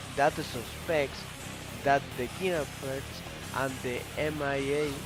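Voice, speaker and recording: A man speaks at a very slow pace with a non-native accent. Music plays in the background. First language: not English. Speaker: video game story narrator. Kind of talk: video game story summary narration.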